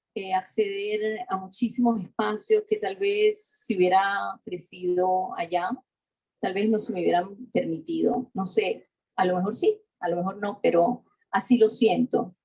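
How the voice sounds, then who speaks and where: A woman with a Latin American accent speaks at a medium pitch and a fairly slow pace. Her dark, mellow voice is somewhat breathy, with ordinary pitch variation. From Venezuela (Mérida, Andes). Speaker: architecture historian, professor. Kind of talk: interview conversation. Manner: halting, many restarts and fillers.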